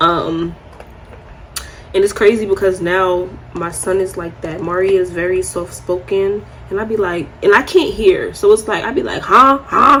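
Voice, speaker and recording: With an American accent, a woman talks at a moderate pace over noticeable background noise. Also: medium pitch for a woman, ordinary pitch variation. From New York. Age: 20s. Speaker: beauty vlogger. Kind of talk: casual chat. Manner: soft-spoken.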